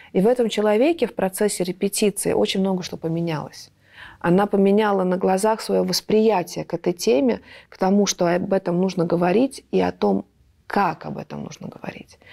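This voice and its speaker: A woman speaks with a dark, mellow tone and fairly even intonation at a moderate pace. Her loudness swings widely against a quiet background. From Latvia. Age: 30s. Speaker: theatre director and actress; actress. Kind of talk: panel discussion. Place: stage. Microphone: lapel.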